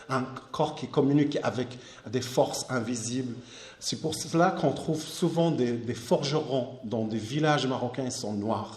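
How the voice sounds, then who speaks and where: A man with a fairly high pitch talks at a fairly slow pace with ordinary pitch variation. Noticeable background noise and audible room echo fill the recording. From southern Morocco, Akka oasis near Algerian border. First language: Amazigh (Berber) (speaking French). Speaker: artist. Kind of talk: lecture. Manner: halting, frequent repetitions.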